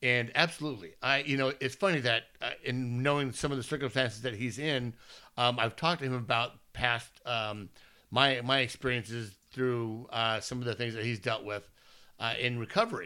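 A man speaks loudly at a medium pitch in a bright, sharp tone. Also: ordinary pitch variation, moderate pace. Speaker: baseball podcast co-host. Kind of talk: casual chat. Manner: animated.

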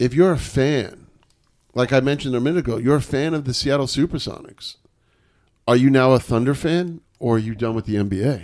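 A plain, everyday voice with an American accent talks at a fairly quick pace on a very clean recording with a silent background. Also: man, medium pitch for a man, ordinary pitch variation. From New York. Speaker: sports podcast host. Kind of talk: casual chat.

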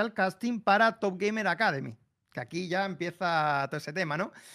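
A man talks with a high pitch and a bright, sharp tone. The recording is very clean, with a silent background. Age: 30s. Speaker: streamer. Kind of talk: casual chat.

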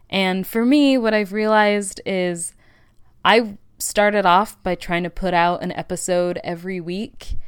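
On a very clean recording with a silent background, a woman with an American accent and an ordinary speaking voice talks at a fairly slow pace, her medium pitch showing ordinary variation. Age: 20s. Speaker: podcast host. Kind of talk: casual solo monologue. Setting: home recording studio.

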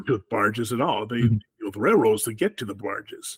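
At a moderate pace, a man with an American accent talks in a somewhat breathy, medium-pitched voice with ordinary pitch variation. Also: dry, close sound with no echo. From rural southwest Wisconsin, US. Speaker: author and political activist, Air Force veteran. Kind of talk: interview about politics.

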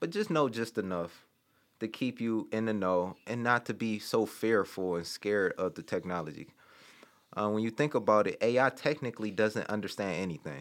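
On a very clean recording with a silent background, a man with an American accent speaks at a moderate pace and fairly low pitch, with ordinary pitch variation. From Detroit, Michigan (west side). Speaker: tech startup co-founder and podcast co-host. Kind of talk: casual interview chat. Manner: halting, many fillers.

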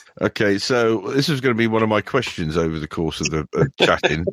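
Medium-pitched male voice, an ordinary speaking voice, in a very clean recording with a silent background. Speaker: podcast host. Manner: casual, chatty.

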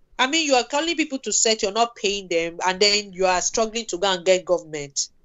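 A woman with medium pitch speaks with very wide pitch swings. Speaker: film producer. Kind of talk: casual interview conversation.

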